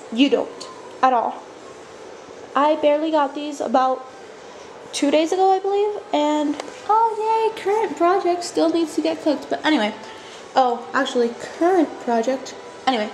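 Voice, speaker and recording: With noticeable background noise, a woman speaks at a moderate pace and a high pitch, her pitch swinging very widely between long, frequent pauses. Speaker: craft video maker. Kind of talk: tutorial. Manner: casual, filler-heavy.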